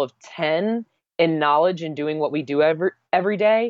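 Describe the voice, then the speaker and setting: A woman with an unremarkable speaking voice and a fairly low pitch talks at a moderate pace with lively intonation. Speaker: branding consultant, former model. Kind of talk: interview.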